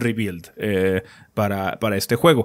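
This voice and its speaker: A man speaks with a Mexican accent against a quiet background. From Mexico. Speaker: gaming podcast host. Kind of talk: casual chat. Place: home room. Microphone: studio mic.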